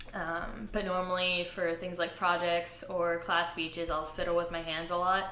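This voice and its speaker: Amid noticeable background noise and audible room echo, a woman talks at a moderate pace with a fairly low pitch and monotone, flat intonation. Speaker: college student. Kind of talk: interview testimony. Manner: halting.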